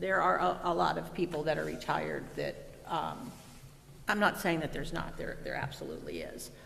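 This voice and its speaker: Fairly quick speech against noticeable background noise. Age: 60s. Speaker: school board member. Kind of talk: board meeting discussion.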